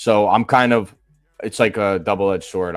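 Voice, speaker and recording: In a Boston accent, a man speaks at a fairly low pitch with fairly even intonation, in a dry, close sound with no echo on a very clean recording with a silent background. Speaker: sports betting podcast host. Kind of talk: casual chat.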